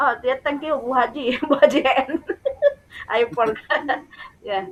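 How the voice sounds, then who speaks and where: A woman's high-pitched voice with a Sundanese accent, at a very slow pace with ordinary pitch variation, over noticeable background noise. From West Java, Indonesia (Sundanese). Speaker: English teacher, workshop presenter. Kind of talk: teacher workshop presentation.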